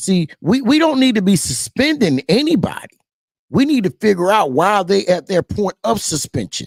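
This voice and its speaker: A man with an American accent speaks in a high pitch at a moderate pace, his tone animated and his pitch swinging very widely. The sound is dry and close, with no echo. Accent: Southern US twang, comes out at times. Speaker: political commentator. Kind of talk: political commentary livestream.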